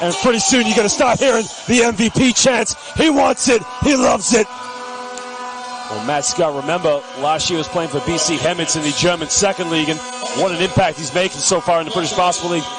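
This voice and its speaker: Over music in the background, the voice races at a very fast pace with very wide pitch swings. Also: man, high pitch for a man. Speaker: basketball commentator. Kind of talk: live commentary. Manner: animated.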